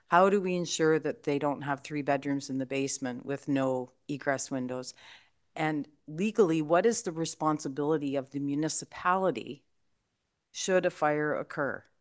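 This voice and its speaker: A woman's very deep, low pitch in a Canadian accent, with ordinary pitch variation, a moderate pace and a quiet background. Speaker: town councillor. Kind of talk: council debate. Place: hall. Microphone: podium.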